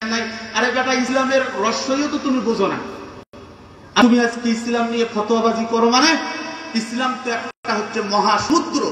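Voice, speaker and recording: A man speaks loudly at an extremely high pitch. Light background noise and audible room echo are present. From Bangladesh. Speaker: Islamic preacher; preacher. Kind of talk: sermon. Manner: animated. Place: tent. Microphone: pa.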